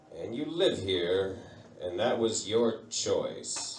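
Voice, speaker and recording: A man speaking at a fairly slow pace over noticeable background noise. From United States. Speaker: stand-up comedian. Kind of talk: live stand-up comedy set. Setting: live pub audience.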